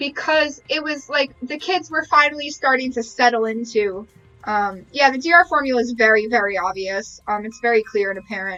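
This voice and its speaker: With music in the background, a woman with a high pitch and lively intonation talks at a moderate pace with hardly any pauses. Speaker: streamer playing a video game. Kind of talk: live gameplay commentary. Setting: live stream. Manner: animated.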